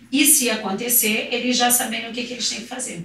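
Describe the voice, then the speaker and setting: A woman speaks at a high pitch and a fairly quick pace. The room echo is audible, and background noise is noticeable. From Rio de Janeiro, Brazil. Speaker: swimming teacher. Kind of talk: podcast interview.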